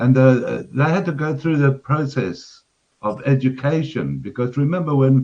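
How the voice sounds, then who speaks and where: A man speaks with a Zimbabwean accent. His voice is somewhat breathy. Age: 60s. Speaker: caller on live stream. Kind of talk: casual chat. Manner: halting.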